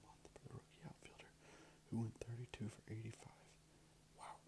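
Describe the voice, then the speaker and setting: A whispered voice moving at a fairly quick pace. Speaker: ASMR creator. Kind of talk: ASMR card opening ramble. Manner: soft-spoken.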